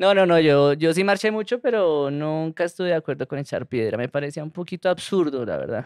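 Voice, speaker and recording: A man talks at a fairly quick pace with hardly any pauses and a fairly high pitch. The background is quiet and the sound is dry with no echo. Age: 30s. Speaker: comedian. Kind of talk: casual chat. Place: studio. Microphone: studio mic.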